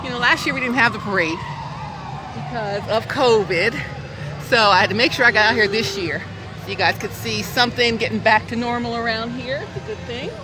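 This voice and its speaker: A woman with an American accent talks at a fairly quick pace over noticeable background noise. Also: fairly high pitch for a woman, ordinary pitch variation. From US South, Georgia. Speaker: parade announcer. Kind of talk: live parade commentary, cheerful, ad-libbed. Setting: outdoors at a parade. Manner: animated; jokey, laughing.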